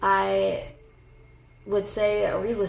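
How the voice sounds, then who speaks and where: A woman's voice with audible room echo. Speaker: booktuber. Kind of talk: casual chat. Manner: halting.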